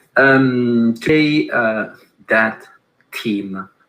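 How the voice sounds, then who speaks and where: With an Italian accent, a man speaks in a bright, sharp tone with fairly even intonation. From Italy, Milan. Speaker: design executive, keynote speaker. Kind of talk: conference keynote talk. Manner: halting, many fillers.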